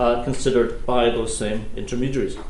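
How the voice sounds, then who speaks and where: A man talks at a fairly quick pace with lively intonation. Noticeable background noise and audible room echo are present. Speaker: law professor. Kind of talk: keynote lecture. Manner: fast.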